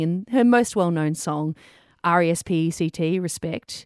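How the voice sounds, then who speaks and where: Fairly low female voice with an Australian accent and ordinary pitch variation over a quiet background. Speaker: podcast co-host. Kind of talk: casual chat.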